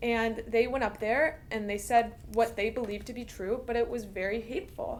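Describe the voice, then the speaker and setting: With noticeable background noise behind her, a woman talks at a moderate pace and fairly high pitch, with hardly any pauses. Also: ordinary pitch variation. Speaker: university student. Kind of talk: interview.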